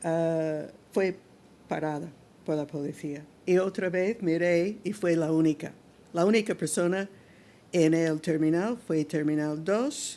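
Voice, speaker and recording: The voice has a dark, mellow tone and moves at a very slow pace. Long pauses come often. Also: woman, fairly low pitch for a woman, ordinary pitch variation, very clean recording, silent background. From North America. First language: English (speaking Spanish). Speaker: civil rights activist. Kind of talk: testimony. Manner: halting.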